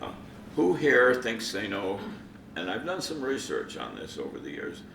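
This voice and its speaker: A man talks at a moderate pace, his pitch swinging very widely. Noticeable background noise runs underneath. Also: medium pitch for a man. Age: 80s+; old. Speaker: amateur radio operator. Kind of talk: conference presentation.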